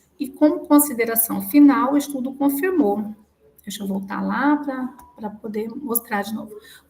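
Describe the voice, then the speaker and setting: Big swings in loudness alongside ordinary pitch variation. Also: woman, high pitch for a woman, moderate pace. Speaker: student defending thesis. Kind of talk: academic presentation. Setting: video call.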